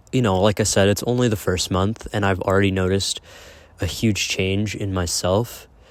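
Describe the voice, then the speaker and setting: With a fairly low pitch and an American accent, a man speaks in a monotone, flat intonation on a very clean recording with a silent background. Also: moderate pace. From Massachusetts, US. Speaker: vlogger. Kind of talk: casual vlog talk. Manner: halting, many fillers.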